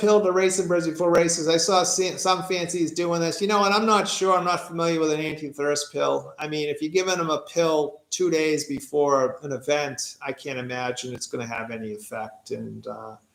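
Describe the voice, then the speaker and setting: With an American accent, a man speaks at a moderate pace in a high pitch, his intonation lively and his loudness swinging widely. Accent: Boston accent, comes out more when tired. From Massachusetts (Quincy, near Boston). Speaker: pigeon racer. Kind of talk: live stream Q&A. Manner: casual, with hesitations.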